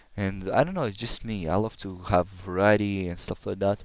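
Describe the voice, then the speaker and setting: This man has a very deep, low voice with a slight Russian accent. His intonation stays fairly even. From Kazakhstan. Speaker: gamer. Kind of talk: gameplay commentary. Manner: halting.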